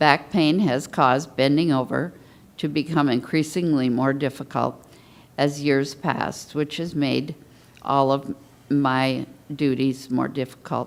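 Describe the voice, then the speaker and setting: The voice moves at a fairly slow pace with fairly even intonation. The recording is very clean, with a silent background. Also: woman, very deep, low pitch for a woman. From US West Coast (Portland, Los Angeles). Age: 70s. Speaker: patient panelist. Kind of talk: testimony. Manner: reading prepared statement.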